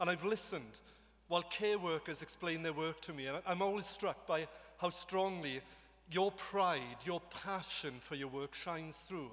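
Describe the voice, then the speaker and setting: This man has a Welsh accent and a high pitch. He talks at a moderate pace with ordinary pitch variation. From Wales. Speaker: government minister. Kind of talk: formal speech. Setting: stage with audience. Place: hall. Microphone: podium.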